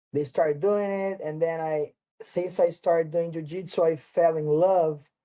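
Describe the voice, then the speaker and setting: A man with a Portuguese accent, fairly high pitch, fairly even intonation and a moderate pace. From Brazil, São Paulo. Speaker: martial arts instructor. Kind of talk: interview. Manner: halting.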